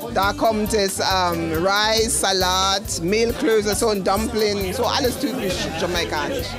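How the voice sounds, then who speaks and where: Someone talks at a very slow pace with ordinary pitch variation while music plays in the background. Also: woman. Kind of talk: interview answer. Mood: cheerful, enthusiastic. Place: cafe. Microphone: handheld.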